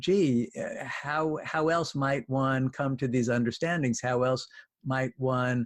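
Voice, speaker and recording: A man's unremarkable speaking voice at a medium pitch, with ordinary pitch variation, a fairly slow pace, and a dry, close sound with no echo. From New York. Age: 60s. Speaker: clinical psychologist. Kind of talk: podcast interview. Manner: thoughtful, with frequent uh fillers.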